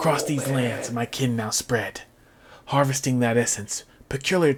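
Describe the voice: Plain reading aloud, its intonation fairly even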